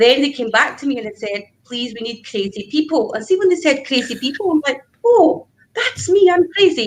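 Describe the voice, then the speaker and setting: Her voice swinging very widely in pitch, a woman talks with a Scottish accent. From Scotland, Glasgow. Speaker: business networker. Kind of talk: casual interview. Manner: animated.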